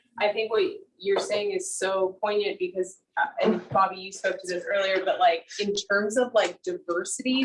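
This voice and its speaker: A woman with an American accent has an unremarkable speaking voice at a medium pitch with ordinary pitch variation. She speaks at a moderate pace with hardly any pauses. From US South. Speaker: photographer. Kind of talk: artist talk Q&A. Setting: video call.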